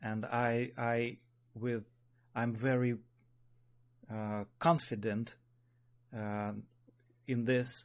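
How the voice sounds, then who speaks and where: A man with a Russian accent speaks at a very slow pace and medium pitch. His intonation stays flat and monotone, broken by long, frequent pauses. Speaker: spiral dynamics teacher. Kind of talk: online meeting talk. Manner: halting.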